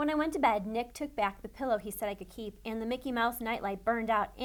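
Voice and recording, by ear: Pitch varies in an ordinary way here. The text is read aloud in a natural voice.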